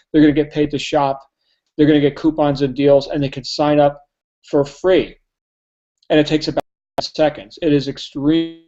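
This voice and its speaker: In a New Jersey accent, a man with a fairly high pitch speaks in a monotone, flat intonation, with long, frequent pauses. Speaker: network marketing trainer. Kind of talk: sales pitch. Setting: live online hangout. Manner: fast.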